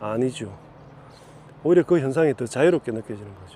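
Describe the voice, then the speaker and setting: Lively intonation at a moderate pace in a Gyeongsang accent. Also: man. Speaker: Buddhist spiritual teacher. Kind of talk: dharma talk. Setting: outdoors.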